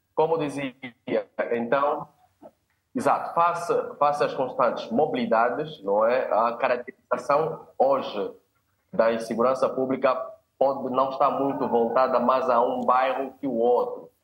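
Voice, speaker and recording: A man talks with long, frequent pauses at a fairly slow pace, keeping a medium pitch and ordinary pitch variation. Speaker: sociologist and community leader. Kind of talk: panel discussion.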